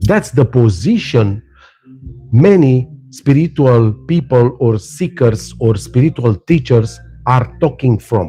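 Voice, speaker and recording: A man with a non-native accent speaks at a very slow pace in a medium pitch, with lively intonation and very even loudness. His voice is somewhat breathy, with a dark, mellow tone. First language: not English. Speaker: spiritual teacher. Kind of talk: live stream talk. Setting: live stream. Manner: animated; halting.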